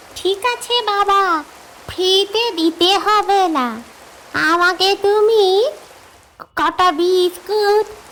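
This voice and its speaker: A woman performs a cartoonish character voice at an extremely high pitch with ordinary pitch variation. She speaks at a very slow pace and very even loudness. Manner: weak, pleading.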